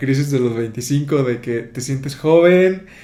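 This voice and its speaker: A man talks at a medium pitch, and room echo can be heard. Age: 20s. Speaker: podcast host. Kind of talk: casual podcast interview.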